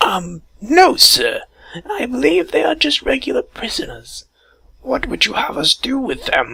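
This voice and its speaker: A high-pitched, put-on character voice is heard. The pace is moderate. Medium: read story. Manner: hesitant, deferential.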